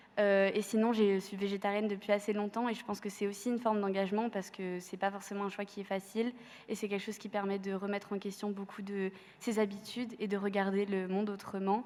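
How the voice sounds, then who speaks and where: The delivery is very fast. Intonation stays monotone and flat throughout. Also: woman, medium pitch for a woman. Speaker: student activist. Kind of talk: panel testimony. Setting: university amphitheatre with audience. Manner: hesitant, many fillers.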